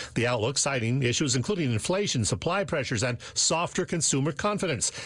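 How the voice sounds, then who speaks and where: A man speaks at a very fast pace, his fairly high voice somewhat breathy and his intonation lively. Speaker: radio business news reporter. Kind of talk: radio business news report.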